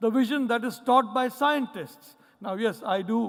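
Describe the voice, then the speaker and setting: A man speaks in a Mumbai accent with lively intonation. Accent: Mumbai Indian English. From India, Mumbai. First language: Malayalam. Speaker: professor. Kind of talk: conference keynote speech.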